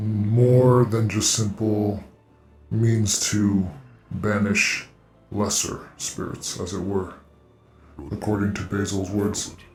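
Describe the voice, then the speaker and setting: A man puts on a character voice, fairly low in pitch and very slow in pace. There is a slight echo, with faint music in the background. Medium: actual play. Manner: formal, archaic phrasing.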